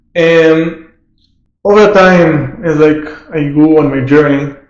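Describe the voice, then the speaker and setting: A man's fairly high voice in an Israeli accent, at a very slow pace, with audible room echo. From northern Israel. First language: Hebrew. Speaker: entrepreneur. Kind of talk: casual interview.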